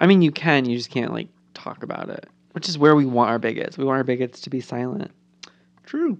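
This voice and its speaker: The speaker has an animated tone, ordinary pitch variation, and a fairly quick pace. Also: woman, very deep, low pitch for a woman. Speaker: podcast co-host. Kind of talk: casual chat.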